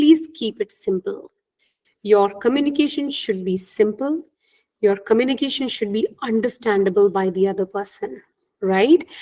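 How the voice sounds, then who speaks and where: A woman with an Indian accent, fairly high in pitch and dark and mellow in tone, with lively intonation at a moderate pace. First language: Hindi. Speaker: career coach. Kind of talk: webinar talk.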